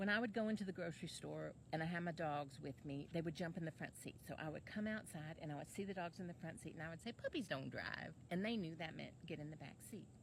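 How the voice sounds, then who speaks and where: A woman talks at a very fast pace with hardly any pauses. Her voice has vocal fry and ordinary pitch variation. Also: fairly low pitch for a woman. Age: 50s. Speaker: online life coach. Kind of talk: casual monologue to camera.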